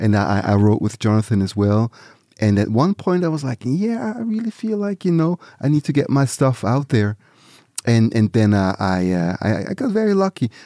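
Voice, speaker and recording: A man's dark, mellow voice swings very widely in pitch, with a dry, close sound and no echo. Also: medium pitch for a man, moderate pace. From Switzerland, near Zurich. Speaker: musician. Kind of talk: interview. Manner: halting, repeats words.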